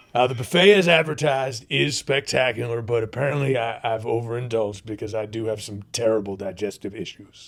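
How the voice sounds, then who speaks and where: A raspy, put-on character voice with big swings in loudness. It moves at a fairly quick pace with ordinary pitch variation. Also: man, medium pitch for a man. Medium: comedy sketch. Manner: folksy, leering, repeats 'you know what I'm saying'.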